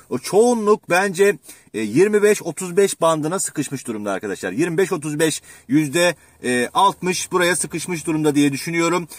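A man speaks at a fairly slow pace with a high pitch and lively intonation. The sound is dry with no echo, over a quiet background. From Turkey, Manisa (Kırkağaç); Manisa, Turkey. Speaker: exam prep teacher (Turkish and literature); exam prep teacher. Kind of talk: educational vlog talk. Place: car. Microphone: phone near.

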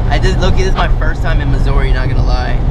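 Over loud background noise, the speech comes at a fairly quick pace in a dry sound with no echo. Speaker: car vlogger. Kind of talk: casual vlog chat. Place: car. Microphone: phone near.

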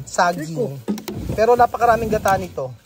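A man speaks at a moderate pace with ordinary pitch variation. The sound is dry with no echo, and there is noticeable background noise. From Philippines. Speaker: vlogger. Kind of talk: casual vlog narration; casual vlog chat. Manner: animated.

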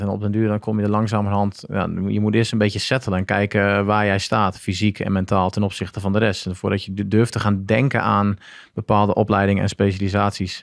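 At a fairly quick pace, a man talks in a fairly low pitch, the sound dry with no echo and the background quiet. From Groningen, northern Netherlands; northern Netherlands. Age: 30s. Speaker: former marine special forces diver; podcast guest. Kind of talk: casual interview, personal story. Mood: relaxed storytelling. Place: studio. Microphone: studio mic.

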